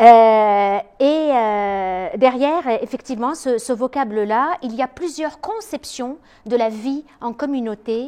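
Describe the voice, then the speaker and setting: A woman with a high-pitched, dark, mellow tone speaks very slowly, with ordinary pitch variation. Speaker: psychologist and lecturer. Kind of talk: lecture. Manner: hesitant, many filler sounds.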